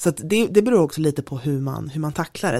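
On a very clean recording with a silent background, a woman with a Stockholm accent and a very deep, low pitch speaks at a fairly quick pace. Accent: Stockholm accent, clearly audible. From Stockholm, Sweden. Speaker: diversity network co-founder, strategist. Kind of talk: podcast interview.

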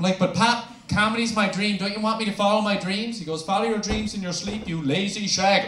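A man's high-pitched voice with fairly even intonation and hardly any pauses, over noticeable background noise. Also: fairly quick pace. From Newfoundland, Canada. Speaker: stand-up comedian. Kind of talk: stand-up comedy set. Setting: stage with audience. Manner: sarcastic, crude, storytelling.

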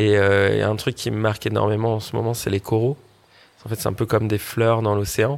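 A man speaks at a fairly low pitch. His monotone, flat intonation comes at a fairly quick pace. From French Polynesia. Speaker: social entrepreneur. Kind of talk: interview. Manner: casual, hesitant with fillers.

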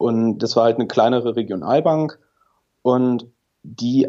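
The speaker has a plain, everyday voice and keeps to a moderate pace. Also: man. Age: 30s. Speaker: engineer, podcast listener. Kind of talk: interview.

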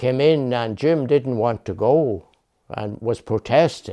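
Lively intonation marks this man's medium-pitched voice, which has a dark, mellow tone. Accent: Irish. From Ireland, Dundalk, County Louth. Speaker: retired man, brother of the poet. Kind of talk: documentary interview.

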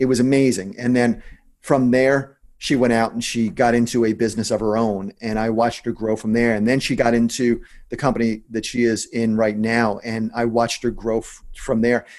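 A man talks in a New Jersey accent. His intonation is monotone and flat. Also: medium pitch for a man. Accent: New Jersey American. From US Northeast, New Jersey. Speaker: entrepreneur and investor. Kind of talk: interview. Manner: fast talker; blunt.

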